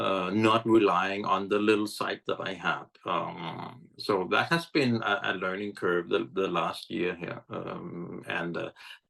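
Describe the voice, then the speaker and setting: A fairly low-pitched male voice with vocal fry, a fairly slow pace and ordinary pitch variation. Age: 60s. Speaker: app founder, blind advocate. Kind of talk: interview. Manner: halting, many fillers.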